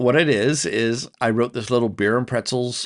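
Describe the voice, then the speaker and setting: A man with an American accent speaks at a moderate pace and medium pitch, in a normal speaking voice. The background is quiet. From US Northeast (Rhode Island). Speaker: tabletop RPG podcast host. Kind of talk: solo podcast monologue and answering listener calls. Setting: hotel room.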